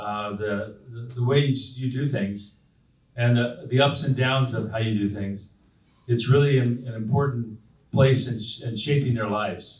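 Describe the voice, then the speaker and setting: A man with an American accent and a somewhat breathy voice speaks at medium pitch with fairly even intonation, with audible room echo. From Southern California (Whittier, La Habra, Brea). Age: 60s. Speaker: pastor. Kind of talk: interview on stage. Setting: stage with audience at community breakfast. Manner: halting, many fillers and repeats.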